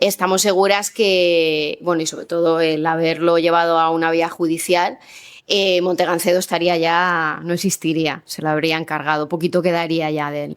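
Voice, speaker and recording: Speaking at a moderate pace, a woman has a fairly low voice with monotone, flat intonation. The recording is very clean, with a silent background. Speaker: neighborhood activist. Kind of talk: panel talk. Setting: public event with audience. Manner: soft-spoken.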